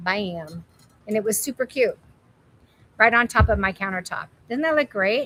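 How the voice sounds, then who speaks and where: Loud and animated, a woman speaks in a fairly high pitch with a bright, sharp tone and lively intonation at a moderate pace, taking long, frequent pauses, in a dry, close sound with no echo. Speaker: live sale host, home decor presenter. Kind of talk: live shopping stream. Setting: warehouse live stream.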